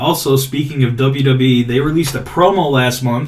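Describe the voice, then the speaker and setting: With noticeable background noise and audible room echo, a medium-pitched man talks at a fairly quick pace and fairly even intonation. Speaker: podcast host. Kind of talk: casual chat. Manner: stuttering today.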